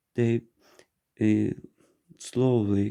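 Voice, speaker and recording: A man with a non-native accent, a fairly low pitch, a dark, mellow tone and fairly even intonation. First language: not English. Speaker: neurology resident. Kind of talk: medical lecture presentation. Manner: halting, with frequent restarts.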